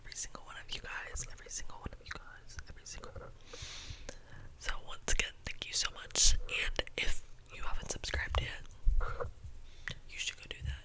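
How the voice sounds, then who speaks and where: Whispering at a moderate pace with long, frequent pauses, a woman's loudness swings widely amid noticeable background noise. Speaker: YouTuber. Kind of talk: ASMR whisper ramble. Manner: whispered, casual.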